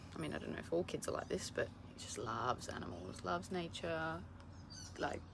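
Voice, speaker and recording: A woman with an Australian accent talks very fast in a very deep, low voice with very wide pitch swings, against noticeable background noise and audible room echo. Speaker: travel vlogger. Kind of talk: casual vlog talk to camera.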